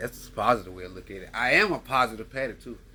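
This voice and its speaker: Animated in tone, a man talks at a very fast pace. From US South. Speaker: podcast host. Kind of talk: casual monologue. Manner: rambling, animated.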